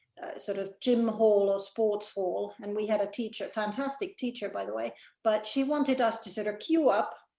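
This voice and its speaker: At a moderate pace, a woman with a Mid-Atlantic accent speaks in a fairly high voice with ordinary pitch variation. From Finland. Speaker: executive director of a language organization. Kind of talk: casual chat. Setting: video call.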